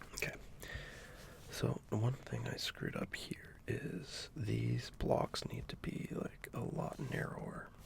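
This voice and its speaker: The speaker is whispering, very slowly. Behind the whisper there is noticeable background noise. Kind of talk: soft-spoken ASMR drawing video, casual talk to camera. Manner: soft-spoken.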